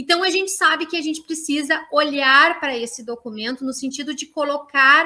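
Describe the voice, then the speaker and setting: A woman's high, raised, projected voice with a bright, sharp tone and ordinary pitch variation. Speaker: university professor and education researcher. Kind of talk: online lecture. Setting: online live stream. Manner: hesitant fillers, frequent 'né'.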